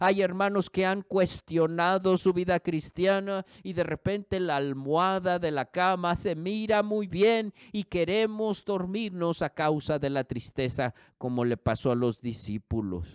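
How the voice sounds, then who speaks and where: A man with a British accent speaks at a fairly slow pace in a high voice, with lively intonation and hardly any pauses. The recording is very clean, with a silent background and a dry, close sound with no echo. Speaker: pastor. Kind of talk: sermon.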